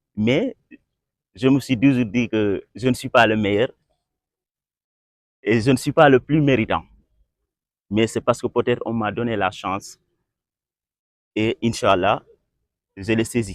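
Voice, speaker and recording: At a medium pitch, a man speaks at a fairly slow pace with long, frequent pauses. The sound is dry and close with no echo. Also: ordinary pitch variation. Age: 20s. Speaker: young football referee. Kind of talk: interview. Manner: halting, many repetitions.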